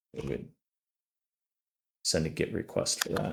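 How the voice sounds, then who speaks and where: A man's voice with music in the background. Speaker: cybersecurity student. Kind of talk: tutorial walkthrough.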